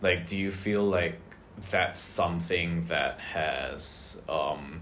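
Very deep, low-pitched male voice. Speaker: podcast co-host, education nonprofit worker. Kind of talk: casual interview.

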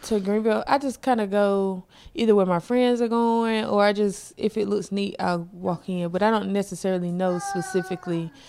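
With an ordinary speaking voice and an American accent, a woman talks at a moderate pace with fairly even intonation and hardly any pauses. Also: medium pitch for a woman. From South Carolina. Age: 30s. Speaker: comedian. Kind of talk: casual chat. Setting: home studio.

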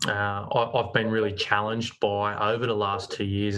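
A man with an Australian accent speaks at a fairly low pitch and a moderate pace. His intonation is monotone and flat. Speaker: commercial real estate agency manager. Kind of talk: interview.

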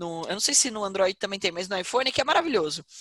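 A woman's voice with very wide pitch swings, in a dry, close sound without echo. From Brazil, Porto Feliz (São Paulo state). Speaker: business executive and investment educator. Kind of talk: interview.

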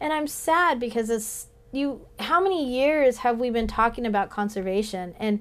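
A woman talks with an American accent in an ordinary speaking voice. Her intonation is lively and her pace moderate. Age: 40s. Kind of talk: casual chat.

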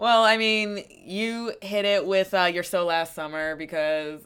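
In a very clean recording with a silent background, a woman with an ordinary speaking voice talks at medium pitch with ordinary pitch variation. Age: 20s. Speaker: podcast co-host. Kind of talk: casual chat.

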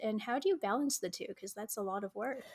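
In an American accent, a woman uses an unremarkable speaking voice, fairly high in pitch with ordinary pitch variation. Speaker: podcast co-host. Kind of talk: podcast interview hosting.

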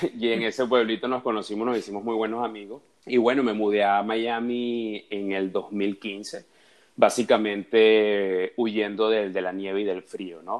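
The man speaks at a fairly slow pace. His fairly low voice is monotone, with flat intonation. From Venezuela, Caracas. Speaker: dating and relationships guest. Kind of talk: casual chat. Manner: halting, repeats words.

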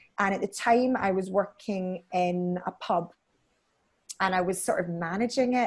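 A woman with a Scottish accent speaks at a medium pitch with fairly even intonation. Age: 30s. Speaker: beauty salon owner. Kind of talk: casual chat.

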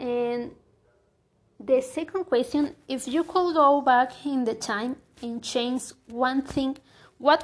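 A woman with a Mexican accent speaks very slowly at a high pitch, with ordinary pitch variation and long, frequent pauses. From Mexico. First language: Spanish. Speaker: university student. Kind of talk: language practice monologue. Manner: halting.

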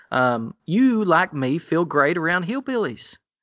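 A man talks with a Southern US accent. His pitch swings very widely. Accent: Southern US, hillbilly. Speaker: co-host, pastor and theologian with a PhD.

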